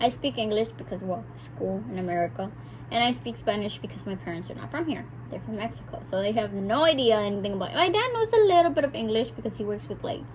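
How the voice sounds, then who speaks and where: A woman speaking at a very fast pace over noticeable background noise. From South Texas (McAllen), Mexican-American family. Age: 20s. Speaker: vlogger. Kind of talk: casual chat. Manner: talkative, chatty.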